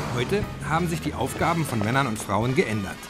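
Music plays in the background as a man speaks very fast at a medium pitch. His pitch swings very widely. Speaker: film narrator. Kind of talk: lecture-like film narration. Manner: measured, didactic, pseudo-scientific.

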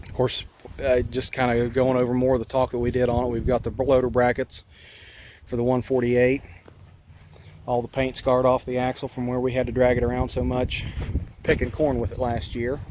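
With light background noise behind him, a man speaks at a fairly quick pace in a monotone, flat intonation. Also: dry sound with no echo. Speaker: tractor owner. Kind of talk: casual walkaround explanation. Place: open country. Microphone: phone near.

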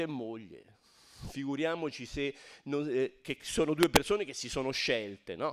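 An unremarkable speaking voice at a fairly slow pace against a quiet background. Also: man. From Tuscany, Garfagnana (Lucca); Tuscany. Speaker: architect and emigration archive director; guest lecturer. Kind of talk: lecture. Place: hall.

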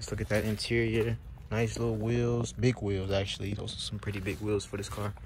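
A man at fairly low pitch and a moderate pace, with ordinary pitch variation and noticeable background noise. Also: dry sound with no echo. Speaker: car flipper vlogger. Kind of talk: casual vlog chat. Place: open country. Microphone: phone near.

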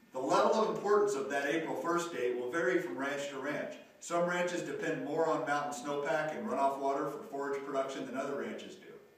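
Amid strong room echo, a man with a fairly high pitch and ordinary pitch variation speaks at a fairly quick pace with hardly any pauses. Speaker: extension rangeland specialist. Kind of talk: educational video. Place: classroom.

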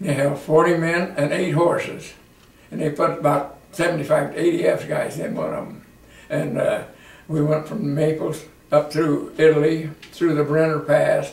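Man with a Midwestern American accent at a moderate pace, audible room echo around him. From Iowa. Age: 80s+. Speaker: war veteran. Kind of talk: interview answer. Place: home room. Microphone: camera far.

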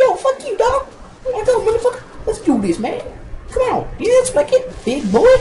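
This put-on character voice is pitched extremely high and moves at a fairly quick pace against clear background noise. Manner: aggressive, confrontational.

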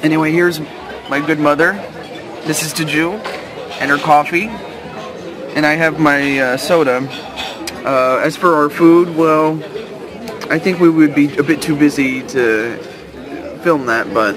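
Over crowd noise in the background, a man talks at a fairly slow pace with ordinary pitch variation and long, frequent pauses. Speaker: vlogger. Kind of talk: casual vlog chat. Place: cafe. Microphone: phone near.

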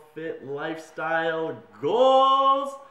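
A man speaks with ordinary pitch variation in a room with audible echo. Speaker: vlogger. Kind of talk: casual vlog chat. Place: home room. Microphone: phone near.

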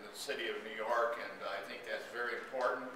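There is noticeable background noise and audible room echo. A man is speaking. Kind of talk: speech. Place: hall. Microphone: camera far.

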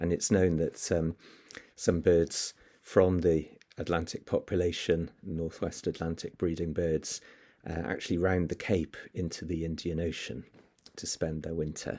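A man's very deep, low voice with a dark, mellow tone at a fairly slow pace. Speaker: presenter. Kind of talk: lecture. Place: home room. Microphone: webcam.

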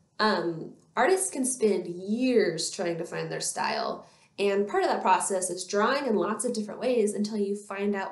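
Audible room echo surrounds a woman speaking at a moderate pace with ordinary pitch variation. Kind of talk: educational talk to camera. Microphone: webcam.

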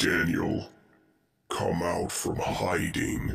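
A man's put-on character voice, raspy and very deep in pitch. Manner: menacing, calling out.

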